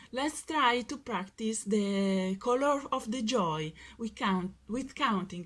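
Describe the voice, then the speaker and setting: The speaker has an Italian accent and a somewhat breathy voice. The pace is very slow, with ordinary pitch variation. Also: woman. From Italy. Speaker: workshop speaker. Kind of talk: workshop presentation. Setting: video call. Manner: hesitant.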